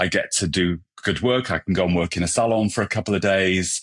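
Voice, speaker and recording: A man with a British accent, very deep, low pitch and fairly even intonation at a fairly quick pace, in a very clean recording with a silent background and a dry, close sound with no echo. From England. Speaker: hairstylist and brand ambassador. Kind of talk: podcast interview.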